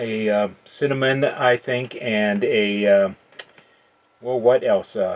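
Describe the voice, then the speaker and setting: Fairly even intonation carries speech that moves very slowly. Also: man, medium pitch for a man. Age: 60s. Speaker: beer reviewer. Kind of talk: casual product review monologue. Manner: halting, many filler uhs.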